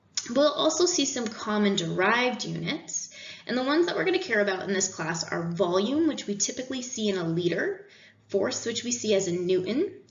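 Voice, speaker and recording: In a room with audible echo, a woman talks at a fairly quick pace, fairly high in pitch, with very wide pitch swings. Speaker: engineering instructor; instructor. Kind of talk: recorded lecture. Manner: fast. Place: home room.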